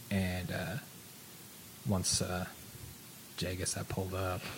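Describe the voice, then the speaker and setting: A man speaks fairly slowly in a very deep, low voice that is somewhat breathy. Room echo is audible. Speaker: radio talk show co-host. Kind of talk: casual chat. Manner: mumbling.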